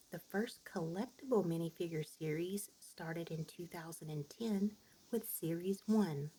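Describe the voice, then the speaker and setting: At a moderate pace, this speaker talks in a soft-spoken way. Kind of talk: ASMR soft-spoken fun-fact narration. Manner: soft-spoken, relaxing.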